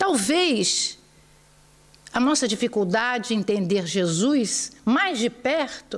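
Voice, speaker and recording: A woman with a Brazilian accent speaks very slowly, her pitch swinging very widely. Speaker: spiritist lecturer. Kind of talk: religious lecture.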